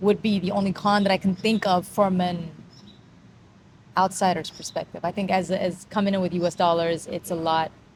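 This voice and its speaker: With an American accent, a woman talks at a fairly quick pace in a medium-pitched, somewhat breathy voice with fairly even intonation. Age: 40s. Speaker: vlogger. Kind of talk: casual chat.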